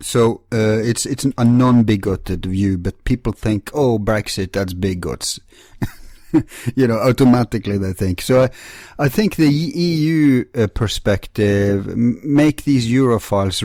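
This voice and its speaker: A man with a non-native accent speaks at a fairly slow pace in a dark, mellow tone with lively intonation, on a very clean recording with a silent background. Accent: non-native, self-described as weird. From Norway. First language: Norwegian. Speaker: talk show host. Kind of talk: interview conversation.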